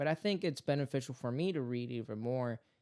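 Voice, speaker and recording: A Spanish accent at a fairly quick pace, with ordinary pitch variation. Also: man. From Puerto Rico. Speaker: podcast host and father. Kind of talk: casual family chat.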